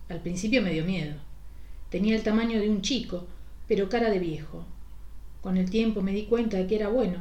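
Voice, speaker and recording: A woman's medium-pitched, somewhat breathy voice with a dark, mellow tone, fairly quick pace, ordinary pitch variation, and long, frequent pauses. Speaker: podcast host reading a short story. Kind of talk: ghost story narration, first-person scripted reading.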